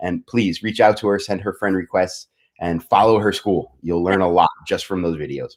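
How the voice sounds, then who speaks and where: This man talks in a New York accent at a fairly low pitch. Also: fairly even intonation, moderate pace. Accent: New York American. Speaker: martial arts business executive, show host. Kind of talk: online show interview.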